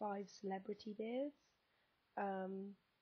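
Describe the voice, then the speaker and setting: A woman talks at a medium pitch with a somewhat breathy voice. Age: 20s. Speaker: vlogger. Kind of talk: casual vlog monologue. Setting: sitting on bed, camera on lap. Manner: hesitant, many fillers.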